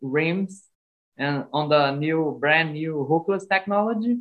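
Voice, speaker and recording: Someone speaks at a fairly slow pace in a Brazilian accent. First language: Portuguese. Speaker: cycling podcast co-host. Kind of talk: interview.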